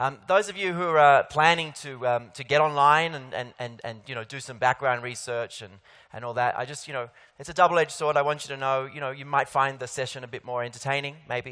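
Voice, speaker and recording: With an Australian accent, this man speaks at a fairly quick pace in a fairly high pitch, his intonation fairly even and his loudness swinging widely. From Australia, Sydney. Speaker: keynote speaker. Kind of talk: conference keynote. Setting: stage with audience. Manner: hesitant, many fillers.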